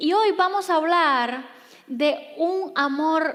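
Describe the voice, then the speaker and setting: There is audible room echo around a woman's voice. Her pitch swings very widely. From Cuba. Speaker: pastor. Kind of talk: sermon. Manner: soft-spoken.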